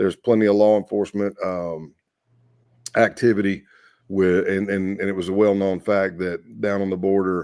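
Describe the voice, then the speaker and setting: With a Southern US accent, a man speaks at a very deep, low pitch. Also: very clean recording, silent background. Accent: Southern US accent noted by himself. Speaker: former undercover FBI agent. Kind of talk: podcast interview storytelling.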